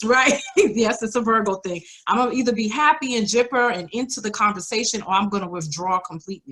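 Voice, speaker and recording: A woman in a New York accent talks fairly quickly at a medium pitch with ordinary pitch variation. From New York, the Bronx. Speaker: podcast guest, single mother in blended family. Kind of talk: casual interview chat.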